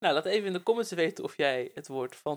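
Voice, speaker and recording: A man talks with lively intonation at a high pitch. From Netherlands, Bible Belt village (Werkendam). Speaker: podcast host. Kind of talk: casual chat. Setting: on a couch at home.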